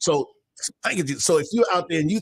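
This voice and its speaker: The man's pitch varies in an ordinary way. His recording sounds dry and close, without any echo. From Baltimore. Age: 70s. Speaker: minister in addiction recovery. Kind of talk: casual chat.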